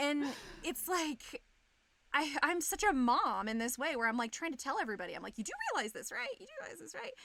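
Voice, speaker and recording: Talking at a fairly quick pace in a California Valley accent, a woman sounds animated, her high voice raised and projected, with very wide pitch swings, big swings in loudness and noticeable background noise. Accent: California Valley girl. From Southern California, Bakersfield. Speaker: streamer. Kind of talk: casual chat.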